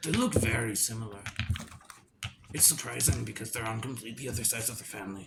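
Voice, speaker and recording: A woman puts on a character voice with a very deep, low pitch. She talks at a very fast pace. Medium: actual play. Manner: rambling, confused.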